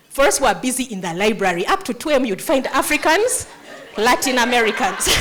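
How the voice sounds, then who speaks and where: Over noticeable background noise, a woman talks very fast in a high, animated voice with very wide pitch swings. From Uganda. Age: 50s. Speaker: nonprofit founder. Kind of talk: motivational speech.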